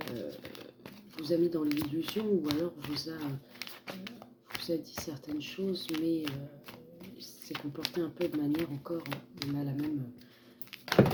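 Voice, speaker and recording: Over noticeable background noise, a soft-spoken woman with a very deep, low voice speaks fairly slowly with fairly even intonation and long, frequent pauses. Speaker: tarot card reader. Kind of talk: tarot reading. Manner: hesitant.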